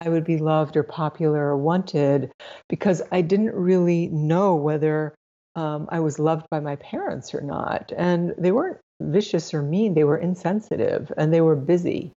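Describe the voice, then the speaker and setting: An unremarkable speaking voice from a woman, fairly low in pitch, at a moderate pace with fairly even intonation. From Florida, US (near Cocoa Beach), first-generation immigrant family. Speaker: sex therapist. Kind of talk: interview conversation. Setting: call.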